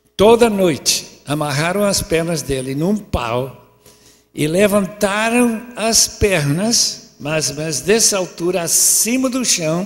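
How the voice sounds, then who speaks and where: Speaking at a very slow pace, a man with a high voice uses lively intonation over noticeable background noise. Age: 80s. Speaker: preacher. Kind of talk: sermon.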